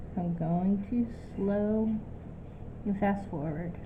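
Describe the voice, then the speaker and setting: Speaking at a very slow pace with a medium pitch, a woman is heard with audible room echo. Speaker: art teacher. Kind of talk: tutorial.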